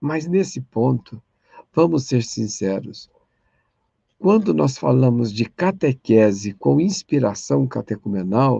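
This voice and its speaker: Very slowly, a man speaks in a dark, mellow tone with very wide pitch swings. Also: medium pitch for a man, dry, close sound with no echo. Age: 60s. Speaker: catechesis lecturer. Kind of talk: online lecture.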